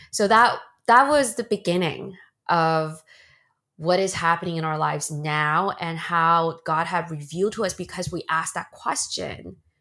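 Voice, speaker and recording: In a normal speaking voice, a woman with an American accent talks at a fairly slow pace in a fairly low pitch, on a very clean recording with a silent background. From China, then Bay Area California. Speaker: podcast co-host, mom. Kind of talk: casual conversational podcast, faith testimony.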